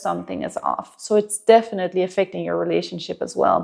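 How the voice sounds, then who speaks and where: The speaker talks at a fairly quick pace with a Danish accent. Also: woman. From Denmark. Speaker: relationship coach. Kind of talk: advice monologue to camera. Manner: conversational, with some hesitations.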